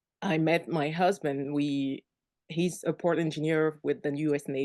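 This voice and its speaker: A woman's very deep, low voice with a dark, mellow tone and a French accent, at a moderate pace, with very even loudness, fairly even intonation and a quiet background. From Cameroon. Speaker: virtual assistant, military spouse. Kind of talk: interview.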